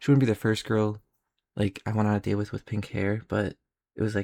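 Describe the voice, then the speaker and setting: Quiet and fairly low in pitch, a man rushes along at a very fast pace with fairly even intonation. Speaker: vlogger. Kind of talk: casual storytelling.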